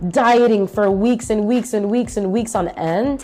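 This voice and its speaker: A woman speaks in an animated tone at a moderate pace. Noticeable background noise can be heard. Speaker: fitness podcaster, former bikini bodybuilder. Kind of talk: casual personal storytelling podcast. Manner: casual, animated.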